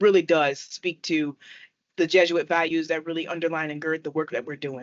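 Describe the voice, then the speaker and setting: A woman speaks with an American accent at a fairly quick pace. Her pitch is very deep and low. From Chicago, Illinois. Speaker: university student affairs administrator, podcast co-host. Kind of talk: casual interview chat. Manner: animated.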